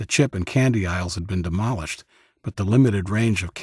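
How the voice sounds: The quiet background carries the voice clearly. It is a natural reading voice.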